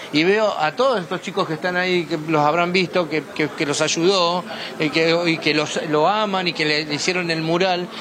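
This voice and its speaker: Over noticeable background noise, a man speaks with a high pitch at a moderate pace and with fairly even intonation. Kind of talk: interview.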